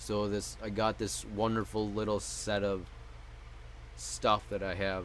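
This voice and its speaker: A man is speaking. Room echo is audible. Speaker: mental health vlogger. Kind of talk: personal vlog monologue. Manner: muttered; halting.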